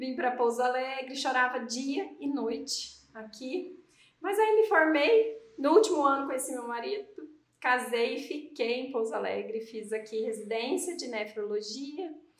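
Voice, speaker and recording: Big swings in loudness mark a high-pitched woman with a southern Minas Gerais accent who speaks at a fairly slow pace with lively intonation amid audible room echo. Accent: southern Minas Gerais (mineiro). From Campinas, São Paulo state, Brazil. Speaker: podcast co-host, physician. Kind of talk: casual chat.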